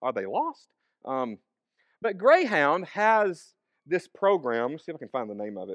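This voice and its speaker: A man with a Southern US accent speaks at a moderate pace in a fairly high pitch, his voice swinging very widely in pitch and sharply in loudness, with long, frequent pauses against a quiet background. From US South, northern Alabama and western Tennessee. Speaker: preacher. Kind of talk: sermon. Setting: church with congregation. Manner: casual, conversational with fillers.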